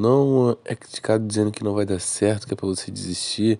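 Against a quiet background, a man with a Brazilian accent speaks in a fairly low voice with a dark, mellow tone. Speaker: gaming YouTuber. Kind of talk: gameplay commentary. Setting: recorded voice-over narrated after the match. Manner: casual, slangy.

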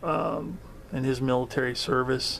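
Slight noise sits behind a man who talks very slowly. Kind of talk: casual vlog chat. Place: home room. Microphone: phone near.

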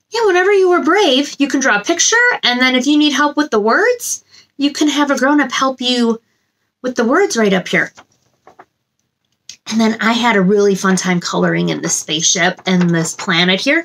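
A woman speaks at a moderate pace in a high voice, her pitch swinging very widely, with long, frequent pauses. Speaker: children's story time host. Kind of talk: animated talk to children. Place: home room.

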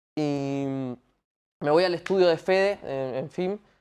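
A man with a fairly high pitch and ordinary pitch variation against a quiet background. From Paraguay, Asunción; Paraguay. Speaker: singer; guest. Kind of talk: casual interview chat. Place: studio.

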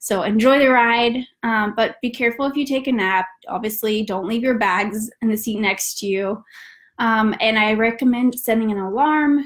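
Against a quiet background, a woman talks at a moderate pace with an American accent. Her pitch is fairly high, and its variation is ordinary. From US South, north Georgia. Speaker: travel company founder. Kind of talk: live webinar tutorial. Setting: online webinar, at home. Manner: hesitant with frequent fillers. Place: home room. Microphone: webcam.

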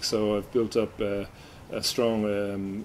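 Over light background noise, a man with an Irish accent talks in a fairly low pitch with monotone, flat intonation. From Ireland. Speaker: MC and facilitator. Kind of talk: interview answer.

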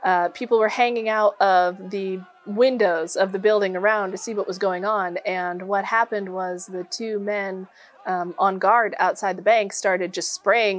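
A woman keeps her intonation fairly even while talking at a moderate pace. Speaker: presenter. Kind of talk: history storytelling talk.

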